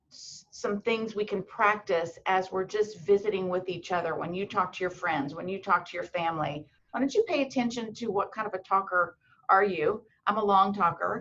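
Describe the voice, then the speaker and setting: This woman has a normal speaking voice at medium pitch. She talks at a moderate pace with ordinary pitch variation. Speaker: medical school admissions advisor. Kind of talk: webinar presentation.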